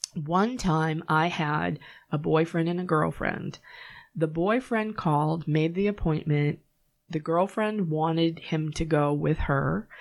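With a Boston accent, a woman of fairly low pitch speaks at a fairly slow pace, her loudness very even and her pitch variation ordinary. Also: very clean recording, silent background. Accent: Boston-area pronunciation of her hometown. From Massachusetts, Norwood. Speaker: psychic medium. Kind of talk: casual interview.

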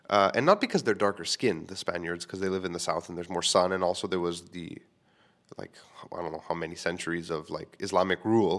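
Very deep and low in pitch, a man speaks with fairly even intonation. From Quebec, Canada. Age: 30s. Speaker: podcast host and live comedy show host. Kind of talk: casual solo podcast monologue. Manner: rambling, casual, humorous, swears often.

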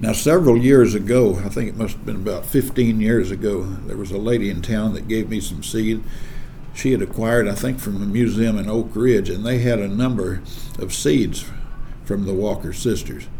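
A man speaks with an Appalachian accent at a fairly low pitch and a moderate pace. Noticeable background noise and audible room echo fill the recording. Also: ordinary pitch variation. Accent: Southern US (Appalachian). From East Tennessee. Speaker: farmer and seed saver, author. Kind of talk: casual interview.

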